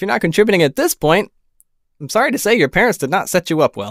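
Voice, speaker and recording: A man speaks with lively intonation. The background is quiet, and the sound is dry with no echo. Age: 20s. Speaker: political commentary vlogger. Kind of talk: solo political commentary monologue. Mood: firm, indignant. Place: home room. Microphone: studio mic.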